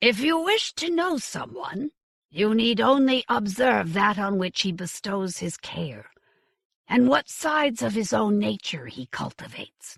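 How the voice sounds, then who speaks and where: A raspy, put-on character voice, fairly high in pitch, at a moderate pace. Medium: read story. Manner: cryptic, detached.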